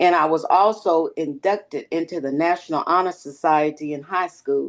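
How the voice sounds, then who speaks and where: In a quiet background, a woman with a fairly low pitch and an unremarkable speaking voice talks at a moderate pace with fairly even intonation. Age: 60s. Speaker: retired dental hygienist. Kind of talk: interview.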